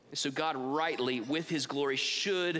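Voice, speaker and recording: At a fairly slow pace, a man talks in a bright, sharp tone with ordinary pitch variation. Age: 30s. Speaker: pastor. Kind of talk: sermon.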